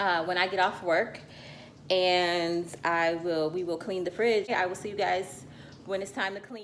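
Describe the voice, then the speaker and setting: At a fairly slow pace, a woman talks in a normal speaking voice of medium pitch with fairly even intonation. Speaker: lifestyle vlogger. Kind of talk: casual vlog.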